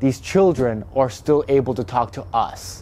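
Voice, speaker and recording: Music plays in the background as a man talks at a fairly slow pace. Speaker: urban explorer vlogger. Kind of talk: casual vlog history narration.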